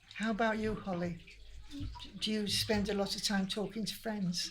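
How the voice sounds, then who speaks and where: A woman with a Lancashire accent speaks at a medium pitch and a fairly slow pace, somewhat breathy and with fairly even intonation. There is audible room echo. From northern England, Manchester. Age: 80s+. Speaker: older community group member. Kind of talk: casual interview chat. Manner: halting.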